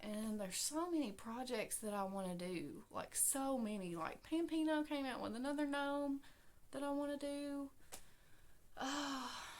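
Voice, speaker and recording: A woman with a high pitch speaks at a fairly slow pace, her intonation lively. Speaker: crochet podcaster. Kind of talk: casual chat. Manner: trying to talk louder. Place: home room. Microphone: webcam.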